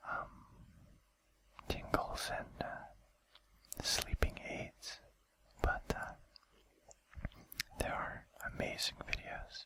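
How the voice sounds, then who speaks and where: Whispering at a very slow pace with long, frequent pauses, the voice comes through noticeable background noise. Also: man. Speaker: ASMR video creator. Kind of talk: casual talk to camera. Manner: whispered.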